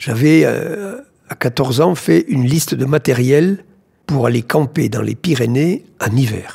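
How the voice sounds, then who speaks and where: A man's dark, mellow voice at medium pitch, with vocal fry and lively intonation. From southern France, Tarn. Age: 70s. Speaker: explorer and doctor. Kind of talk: interview. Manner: halting.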